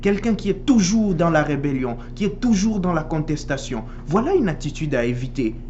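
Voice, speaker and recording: A voice with a Swahili accent over noticeable background noise. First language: Swahili (speaking French). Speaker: priest. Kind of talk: sermon.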